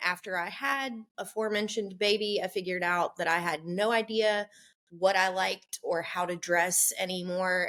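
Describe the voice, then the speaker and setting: In an American accent, a woman with a plain, everyday voice and a medium pitch speaks at a moderate pace with fairly even intonation. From US South. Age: 30s. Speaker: sustainable style influencer. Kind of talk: casual interview chat.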